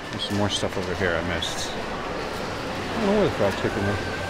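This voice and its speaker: Loud noise fills the background while a man is talking. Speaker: travel vlogger. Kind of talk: casual vlog chat. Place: shop. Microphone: phone near.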